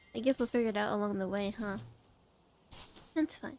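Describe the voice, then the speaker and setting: Music plays in the background as a woman of medium pitch talks at a fairly quick pace with lively intonation. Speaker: VTuber streamer. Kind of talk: casual live stream chat while gaming. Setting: live stream. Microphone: recent mic problems, repositioned mic.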